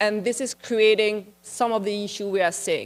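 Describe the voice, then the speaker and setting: A woman with a French accent speaks at a moderate pace and a fairly high pitch, her intonation fairly even and the sound dry and close with no echo. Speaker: international policy expert, conference speaker. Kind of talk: conference presentation. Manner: conversational, slightly halting.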